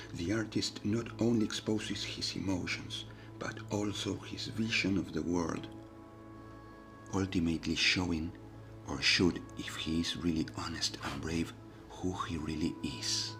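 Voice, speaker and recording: Over music in the background, a man whispers at a fairly slow pace. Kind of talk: ASMR reflective narration. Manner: whispered.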